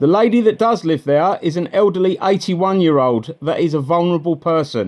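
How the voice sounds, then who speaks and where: With a high pitch and ordinary pitch variation, a man talks at a fairly quick pace. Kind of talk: phone call to a bailiff company. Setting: phone line. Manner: assertive, confrontational.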